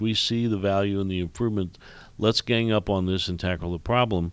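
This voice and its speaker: A man in a Midwestern American accent with fairly even intonation and a fairly quick pace. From Indiana, US Midwest. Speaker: commercial real estate executive and regional planning chairman. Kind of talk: radio interview. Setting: radio studio. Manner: halting, many fillers and repeats.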